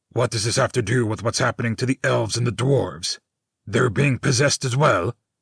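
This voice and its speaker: A growling, put-on character voice moves at a fairly quick pace with ordinary pitch variation. The sound is dry and close, with no echo. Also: man, medium pitch for a man. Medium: audio drama. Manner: urgent.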